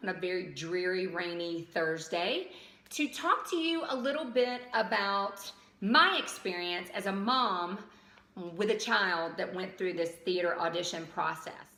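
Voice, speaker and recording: A woman's fairly slow speech with a slight Southern US accent, audible room echo and noticeable background noise. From US South, outside Atlanta, Georgia. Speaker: vlogger and parent advisor. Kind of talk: casual vlog. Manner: hesitant, many ums.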